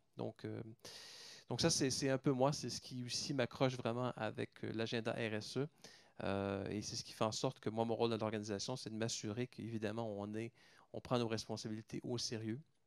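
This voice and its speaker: Speaking in a Canadian French accent, a man keeps a moderate pace and fairly even intonation, recorded with a dry, close sound and no echo. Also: medium pitch for a man. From Canada. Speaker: pharmaceutical company executive. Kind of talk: round table talk. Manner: hesitant, many fillers and repetitions.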